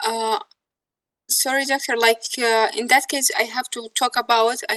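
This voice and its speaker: High-pitched, the woman keeps her intonation fairly even. She sounds high for a woman throughout. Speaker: university student. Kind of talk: classroom question. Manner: fast; halting.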